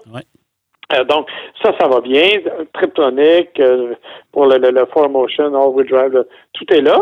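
The man's intonation is fairly even. He speaks at a very slow pace with long, frequent pauses. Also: fairly high pitch for a man. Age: 60s. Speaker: car journalist. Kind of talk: casual chat.

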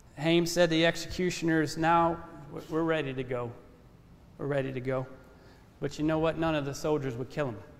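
With audible room echo, a man at a fairly high pitch speaks at a fairly quick pace with fairly even intonation and long, frequent pauses. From Louisiana. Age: 30s. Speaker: ministry intern preaching. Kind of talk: sermon. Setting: church. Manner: measured, respectful tone.

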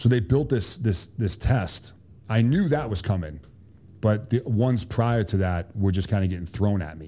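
The voice carries a Boston accent and a dark, mellow tone. It moves at a moderate pace. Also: man. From Boston, Massachusetts. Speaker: Army special forces soldier. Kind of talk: casual interview.

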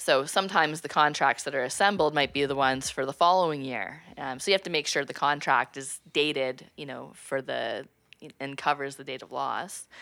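With a Canadian accent, a bright, sharp tone is heard at a moderate pace, with ordinary pitch variation and big swings in loudness, on a very clean recording with a silent background. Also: woman, very deep, low pitch for a woman. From Ontario, Canada (Prescott). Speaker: insurance litigation lawyer. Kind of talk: interview. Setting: office.

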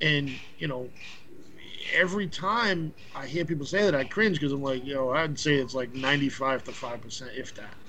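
A man with a Boston accent speaks at a moderate pace in a fairly high pitch with ordinary pitch variation and a bright, sharp tone. Audible room echo surrounds his voice. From Boston, Massachusetts. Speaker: podcast guest. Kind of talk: casual chat.

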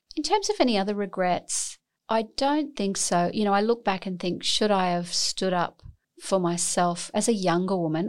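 A woman speaks in an Australian accent. Her pitch varies in an ordinary way. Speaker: academic scientist and medical doctor. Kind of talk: interview.

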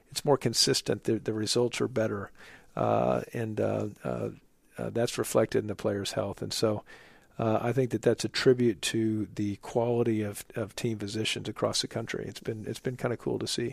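A man talks at a moderate pace, recorded very cleanly against a silent background. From Oklahoma, US Midwest. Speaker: orthopedic surgeon and team physician. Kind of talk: interview. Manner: halting, many filler words.

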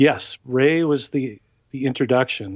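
With a Californian accent, a man speaks at a medium pitch. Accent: Californian American. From Southern California (South Bay, Los Angeles). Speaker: musician. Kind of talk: interview.

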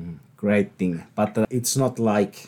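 Very slow male speech with a Finnish accent. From Finland. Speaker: podcast host. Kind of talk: interview.

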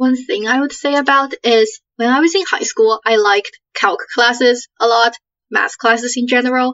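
Lively intonation from a woman with a high voice, at a moderate pace. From Canada. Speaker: university student. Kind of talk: casual chat.

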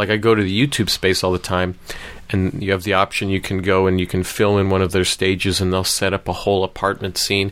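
A man speaks with monotone, flat intonation and very even loudness. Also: fairly quick pace. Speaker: podcast host. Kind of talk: casual interview chat. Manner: joking, playful.

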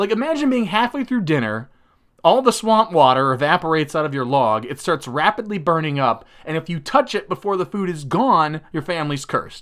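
A man speaks in an animated tone with very wide pitch swings. The recording is very clean, the background silent. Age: 30s. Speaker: podcast host. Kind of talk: casual solo monologue.

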